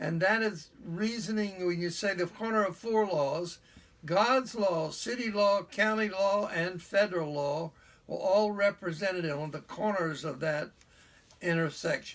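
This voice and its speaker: Against noticeable background noise, a man with an American accent talks at a fairly slow pace in a high voice with ordinary pitch variation. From US South, Charleston, South Carolina. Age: old. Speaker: retired history teacher, book reviewer. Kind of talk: book review talk.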